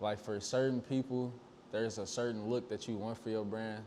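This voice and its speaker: Speaking in a St. Louis accent, a man with a fairly low pitch and a dark, mellow tone keeps a fairly quick pace and fairly even intonation. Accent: St. Louis accent, recognizable. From St. Louis, Missouri. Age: 20s. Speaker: clothing designer. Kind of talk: interview. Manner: casual, filler-heavy.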